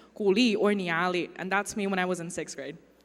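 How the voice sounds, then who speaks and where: The speech moves at a fairly quick pace, with audible room echo around it. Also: woman. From China, Uyghur family. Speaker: artist. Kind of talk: conference talk.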